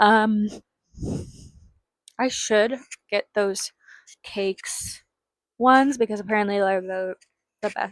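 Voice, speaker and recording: A woman mumbling at a very slow pace, with long, frequent pauses, fairly even intonation, a medium pitch and a dry, close sound with no echo. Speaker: fashion vlogger. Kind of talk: casual try-on haul video. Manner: halting.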